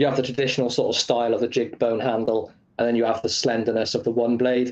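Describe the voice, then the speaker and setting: Speaking at a very fast pace, a man has a British accent. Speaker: knife reviewer, video co-host.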